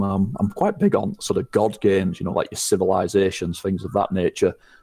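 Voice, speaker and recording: At a fairly quick pace, a man talks in a northern English accent. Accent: northern English, unchanged since moving. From northern England. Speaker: gaming content creator. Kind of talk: casual interview chat.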